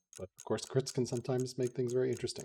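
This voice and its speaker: Speaking with an American accent, a man has a medium pitch and a dark, mellow tone that is somewhat breathy. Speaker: game commentator. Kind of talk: live commentary.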